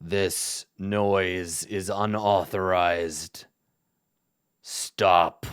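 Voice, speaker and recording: In a put-on character voice, a man speaks very slowly with a very deep, low pitch, a raspy sound, and monotone, flat intonation, all in a very clean recording with a silent background. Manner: commanding, stern.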